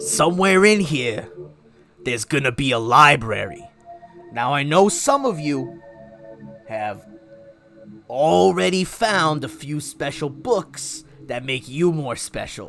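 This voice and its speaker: A man puts on a character voice, fairly high-pitched, speaking at a fairly slow pace with long, frequent pauses over faint background music. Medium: actual play. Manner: brash, casual.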